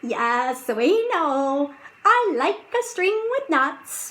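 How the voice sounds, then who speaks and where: This woman talks very slowly in a put-on character voice. Her pitch sits high and swings very widely. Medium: read story. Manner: friendly, knowing.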